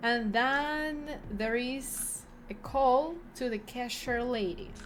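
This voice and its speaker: Through audible room echo, a woman speaks at a fairly high pitch with lively intonation. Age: 20s. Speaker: vlogger and streamer. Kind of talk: casual vlog storytelling. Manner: halting, many fillers.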